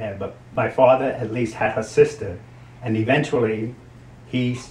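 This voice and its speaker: With an American accent, a man speaks at a moderate pace in a medium, somewhat breathy voice, his intonation fairly even and his loudness swinging widely. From New Jersey, Hoboken. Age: 70s. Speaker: grandparent. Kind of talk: interview.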